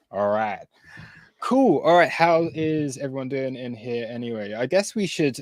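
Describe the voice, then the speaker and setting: A man with a British accent, lively intonation and a moderate pace. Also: medium pitch for a man. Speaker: crypto trading streamer. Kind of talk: live trading stream chat. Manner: casual, hesitant with fillers.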